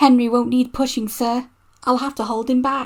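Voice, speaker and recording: In a put-on character voice, someone talks at a moderate pace with a fairly high pitch and flat, monotone intonation on a very clean recording with a silent background. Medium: read story. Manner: warm, respectful to his boss.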